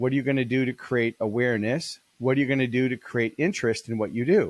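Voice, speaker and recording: A man talks at a fairly quick pace and medium pitch, in a dry, close sound with no echo. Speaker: keynote speaker and business author. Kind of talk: interview. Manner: fast; animated.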